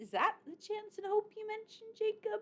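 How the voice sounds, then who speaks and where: Putting on a squeaky character voice, a woman pitches it extremely high. Her pace is moderate. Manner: faltering, uneasy.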